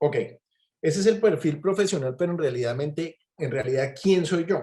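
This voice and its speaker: Moving at a moderate pace, a man with a fairly high pitch has a dark, mellow tone and ordinary pitch variation. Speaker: physician and clinical researcher. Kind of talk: online talk. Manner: hesitant, many fillers.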